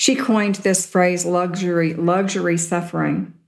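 Here a woman speaks with an American accent at a moderate pace. Her voice is fairly low, with fairly even intonation. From US South. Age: 60s. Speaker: spiritual teacher and workshop leader. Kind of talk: spiritual talk. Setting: live talk with audience.

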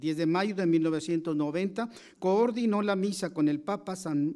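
A man speaks at a high pitch, with a dark, mellow tone and ordinary pitch variation. The background is quiet. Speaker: event presenter introducing the lecturer. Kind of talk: formal introduction. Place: hall. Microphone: podium.

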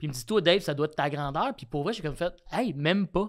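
Over a quiet background, a man talks at a very fast pace. His pitch is fairly high, with ordinary variation. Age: 30s. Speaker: comedian. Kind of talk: casual chat. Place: studio. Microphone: studio mic.

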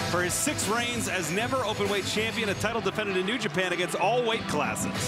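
A man talks at a very fast pace with a dry, echo-free sound over loud background noise. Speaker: wrestling commentator. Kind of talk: live sports commentary. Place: stadium. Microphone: headset.

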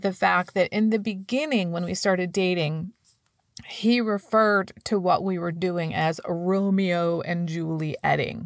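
A woman talks at a fairly slow pace in an ordinary speaking voice with lively intonation. The recording is very clean, with a silent background. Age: 50s. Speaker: podcast host and life coach. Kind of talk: solo podcast monologue.

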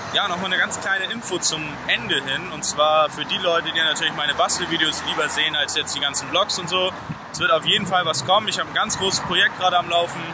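A man rattles off his words very fast, the sound dry with no echo, against noticeable background noise. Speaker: vlogger. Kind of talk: casual vlog chat. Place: street. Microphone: phone near.

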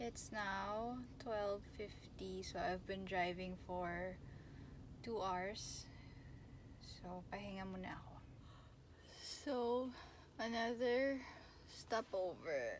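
A woman at a very slow pace with ordinary pitch variation and long, frequent pauses, in a dry sound with no echo amid noticeable background noise. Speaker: vlogger. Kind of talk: casual vlog chat. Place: car. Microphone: phone near.

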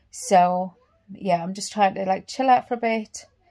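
A woman speaks at a moderate pace in a somewhat breathy, weary tone. The background is quiet. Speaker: vlogger. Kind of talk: casual vlog chat. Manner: weary, low voice lying in bed. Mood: subdued, slightly uncomfortable. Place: home room.

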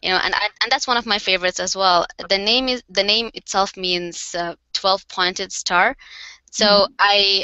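With a Bengali accent, a woman speaks at a moderate pace with fairly even intonation, in a dry recording with no echo and a quiet background. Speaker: card maker and craft company co-founder. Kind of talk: casual interview. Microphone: headset.

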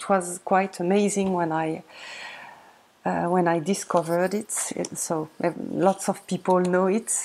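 With a French accent, a woman speaks in a dark, mellow tone. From France. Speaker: tarot video creator. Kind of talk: casual tutorial-style show-and-tell. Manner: halting, many fillers. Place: home room. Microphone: webcam.

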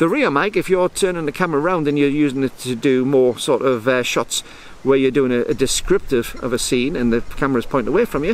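A man talks at a fairly quick pace with lively intonation. The sound is dry with no echo. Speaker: camera reviewer. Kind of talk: tutorial. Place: waterside. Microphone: phone near.

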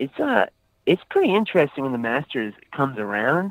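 This man has an unremarkable speaking voice at medium pitch. He speaks at a moderate pace with lively intonation. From US South, Aiken, South Carolina. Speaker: actor and skateboard business owner. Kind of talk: casual interview chat. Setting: in a car, driving.

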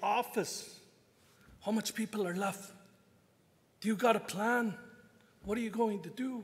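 A man talks at a moderate pace. His pitch is high and his intonation fairly even. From Canada. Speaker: First Nations chief. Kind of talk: panel talk. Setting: stage with audience. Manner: joking. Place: hall. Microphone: podium.

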